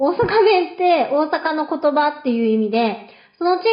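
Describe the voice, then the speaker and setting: This woman talks at a moderate pace. Her pitch swings very widely. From Osaka. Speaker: Japanese language teacher. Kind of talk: podcast intro.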